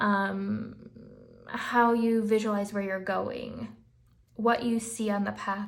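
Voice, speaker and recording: In a room with audible echo, a woman speaks in a monotone, flat intonation. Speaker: tarot reader. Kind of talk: tarot reading, casual talk to camera.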